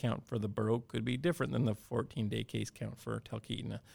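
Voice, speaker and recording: Against a silent background in a very clean recording, a man talks at medium pitch with fairly even intonation. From Alaska (Cordova). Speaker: school superintendent. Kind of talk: interview.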